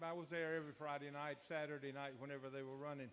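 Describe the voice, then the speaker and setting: Here is a man with an American accent. He talks at a very fast pace. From Virginia (Newport News). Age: 70s. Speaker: audience member telling racing stories. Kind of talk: casual storytelling at open mic. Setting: live radio show at a beach bar.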